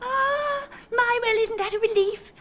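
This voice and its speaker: A squeaky, cartoonish character voice with an extremely high pitch at a fairly slow pace. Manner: gasping, easily impressed.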